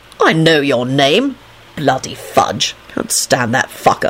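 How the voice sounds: A woman puts on a character voice, rumbling at an extremely low pitch. She speaks slowly with big pitch swings.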